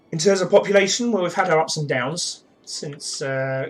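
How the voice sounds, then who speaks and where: Over noticeable background noise, a man with a British accent speaks with ordinary pitch variation. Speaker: gaming streamer. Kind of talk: live gameplay commentary. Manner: relaxed, with filler uhs.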